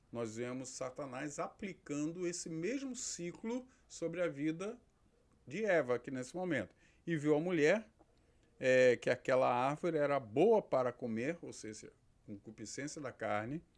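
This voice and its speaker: With a normal speaking voice, a man talks at a fairly slow pace in a fairly high pitch with lively intonation. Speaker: pastor and theology teacher. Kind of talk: lecture.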